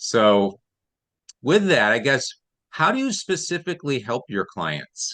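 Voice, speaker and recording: Against a quiet background, a man with an American accent speaks at a fairly slow pace, leaving long, frequent pauses. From United States. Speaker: interview show host. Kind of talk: interview. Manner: halting, many repeated words.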